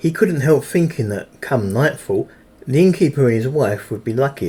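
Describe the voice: Someone reads aloud plainly, with a lively rise and fall in the voice.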